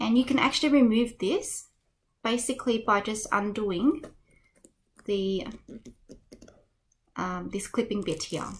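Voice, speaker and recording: A woman with an Australian accent, fairly high-pitched and somewhat breathy, at a fairly slow pace with ordinary pitch variation and long, frequent pauses. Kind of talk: unboxing video narration.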